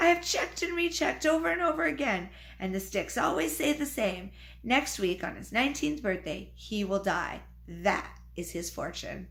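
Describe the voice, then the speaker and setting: A woman does a raspy, put-on character voice at a moderate pace. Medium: read story. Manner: solemn, commanding.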